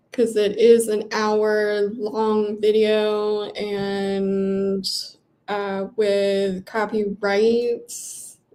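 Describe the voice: Amid audible room echo, a woman speaks very slowly at medium pitch in a dark, mellow tone with monotone, flat intonation.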